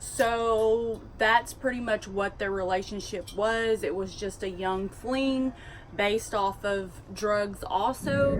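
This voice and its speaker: Speaking at a very slow pace, a woman has a strong Southern US accent and a fairly high pitch. Her intonation is fairly even, with noticeable background noise behind her. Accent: strong Southern drawl. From US South. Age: 20s. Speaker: vlogger. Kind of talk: casual storytelling.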